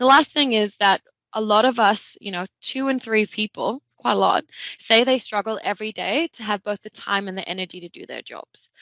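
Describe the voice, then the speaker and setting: Speaking at a moderate pace, a woman with a Danish accent has a fairly high pitch. Her loudness swings widely. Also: ordinary pitch variation. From Denmark. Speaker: tech consultant. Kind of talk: webinar presentation.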